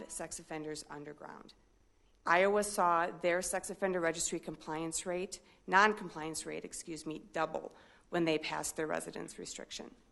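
The voice moves at a moderate pace with fairly even intonation and big swings in loudness. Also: woman, fairly low pitch for a woman. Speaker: corrections official. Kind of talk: public comment. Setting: city council meeting.

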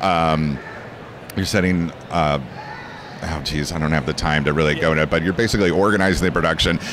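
Here a man with an American accent speaks in a very deep, low pitch at a fairly quick pace, with long, frequent pauses. His intonation is fairly even, and the sound is dry with no echo but has noticeable background noise. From California. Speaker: voice actor and anime dub director; voice actor. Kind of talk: convention interview. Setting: anime convention. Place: hall. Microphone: handheld.

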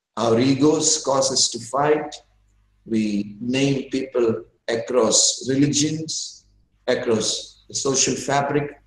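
There is audible room echo as a man speaks at a fairly slow pace. His voice is somewhat breathy. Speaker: guest lecturer. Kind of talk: lecture. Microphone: video call.

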